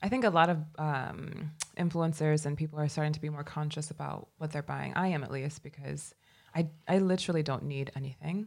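Her pitch is very deep and low, and her intonation fairly even. The woman talks at a fairly quick pace. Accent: Midwestern. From US Midwest, Chicago. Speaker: grad student, beauty Instagrammer. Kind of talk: casual chat.

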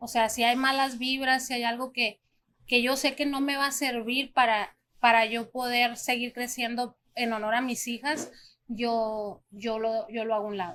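Her high voice has a bright, sharp tone and a monotone, flat delivery at a fairly slow pace. The recording is very clean, with a silent background. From Mexico, small town. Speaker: restaurant owner. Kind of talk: podcast interview.

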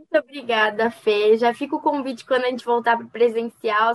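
A woman talks at a very fast pace with fairly even intonation, in a dry, close sound with no echo. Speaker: student radio host. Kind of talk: interview.

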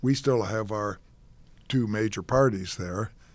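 On a very clean recording with a silent background, a man with an ordinary speaking voice talks at a moderate pace in a fairly low pitch with fairly even intonation. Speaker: journalist. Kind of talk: panel discussion.

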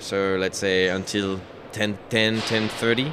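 A man speaks with a French accent at a fairly low pitch. His intonation stays fairly even. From France. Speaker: sport shooting champion. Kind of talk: casual interview. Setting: trade fair booth.

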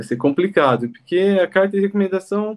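A high-pitched man at a moderate pace. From Brazil, Jundiaí, São Paulo state. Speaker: aircraft mechanic. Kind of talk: interview.

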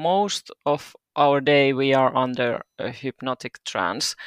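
A woman with a Finnish accent speaks very slowly in a very deep, low pitch. The recording is dry and close with no echo, very clean, with a silent background. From Finland, Turku. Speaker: doula and hypnobirthing practitioner. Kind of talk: casual interview.

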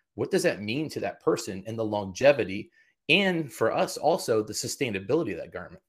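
Over a very clean recording with a silent background, a man with an American accent talks at a fairly quick pace and medium pitch, his tone animated, his intonation lively, his voice somewhat breathy. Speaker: executive of a dry cleaning certification agency. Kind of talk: interview.

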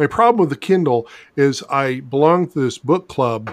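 A man with a plain, everyday voice, medium pitch and ordinary pitch variation, in a very clean recording with a silent background. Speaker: podcast host and novelist. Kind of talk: casual chat. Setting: drink-along podcast. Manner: jokey, playful.

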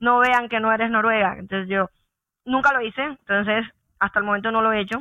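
Talking at a fairly quick pace, a woman with a plain, everyday voice keeps a fairly high pitch and fairly even intonation. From Colombia, Santa Marta (Caribbean coast). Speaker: engineer. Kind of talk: podcast interview.

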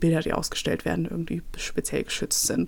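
Dark and mellow in tone, a woman speaks at a fairly low pitch and a fairly quick pace. The recording is very clean with a silent background. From Nuremberg, Franconia, Germany. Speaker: podcast host, museology student. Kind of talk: casual monologue. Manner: many fillers, hesitant.

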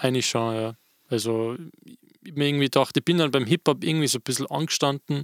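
This man talks at a very fast pace with long, frequent pauses and fairly even intonation, recorded in a dry, close sound with no echo. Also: medium pitch for a man. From Austria. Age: 20s. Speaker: DJ and podcast host. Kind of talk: casual chat.

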